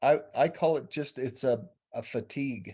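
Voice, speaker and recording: Against a quiet background, a man with a fairly high pitch and a dark, mellow tone speaks with ordinary pitch variation. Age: 60s. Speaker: small business owner. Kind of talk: casual interview. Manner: halting, with many restarts.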